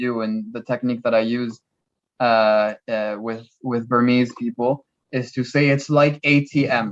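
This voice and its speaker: A man with a French accent talks at a fairly slow pace in a medium pitch with monotone, flat intonation. The sound is dry and close, with no echo. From France. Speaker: language helper. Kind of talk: casual chat.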